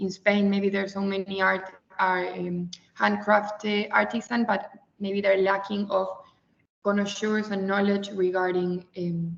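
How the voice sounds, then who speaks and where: A woman in an Argentine accent at medium pitch, monotone and flat. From Argentina. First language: Spanish. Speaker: webinar participant presenting her organization. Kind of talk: webinar presentation. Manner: halting, with fillers.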